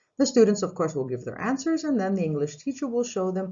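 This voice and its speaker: Very wide pitch swings in a somewhat breathy female voice. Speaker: English teacher. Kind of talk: tutorial. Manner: formal.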